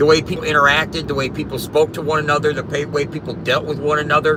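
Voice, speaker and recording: A man with an American accent, his pitch fairly high, can be heard against noticeable background noise. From US Midwest, South St. Louis, Missouri. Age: 50s. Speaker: live streamer. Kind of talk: casual live stream chat.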